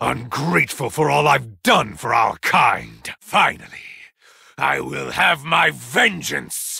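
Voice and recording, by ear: Using a put-on character voice, a man speaks slowly with lively intonation, a bright, sharp tone, a husky, rough edge and vocal fry. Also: medium pitch for a man.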